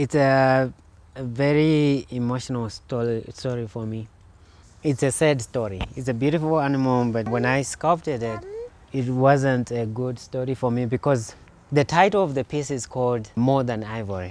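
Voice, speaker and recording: A man with a Zimbabwean accent, medium pitch, moderate pace. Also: ordinary pitch variation. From Zimbabwe, rural Eastern Highlands. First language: Shona. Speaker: sculptor. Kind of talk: interview in his studio. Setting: artist's studio. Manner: halting, many fillers.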